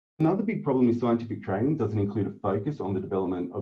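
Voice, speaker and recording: This man speaks with an Australian accent. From Northern Australia. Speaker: academic researcher. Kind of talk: webinar lecture. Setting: video call. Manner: fast talker.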